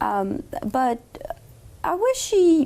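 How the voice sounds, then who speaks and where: A woman's voice makes very wide pitch swings over noticeable background noise. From Morocco. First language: French. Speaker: law student. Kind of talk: interview.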